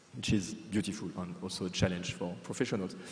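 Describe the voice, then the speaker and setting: A man speaks with a French accent, and audible room echo surrounds his voice. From France. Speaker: museum professional. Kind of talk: conference presentation. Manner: hesitant, many fillers and repetitions.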